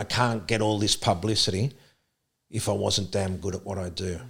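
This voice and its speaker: A man with a normal speaking voice talks at a moderate pace and fairly low pitch, with fairly even intonation, on a very clean recording against a silent background. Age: 50s. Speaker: sprint coach. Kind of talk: casual chat.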